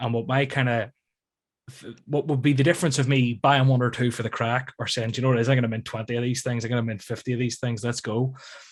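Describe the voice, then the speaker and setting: Speaking at a very fast pace in a Northern Irish accent, a man keeps a monotone, flat intonation on a very clean recording with a silent background. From Northern Ireland, near Belfast. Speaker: YouTube content creator. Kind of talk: casual chat.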